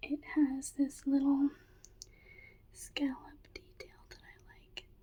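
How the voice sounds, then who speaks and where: Soft-spoken whispering comes at a very slow pace. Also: woman. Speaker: ASMR creator. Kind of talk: ASMR thrift haul, casual talk to camera. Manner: soft-spoken, whispered.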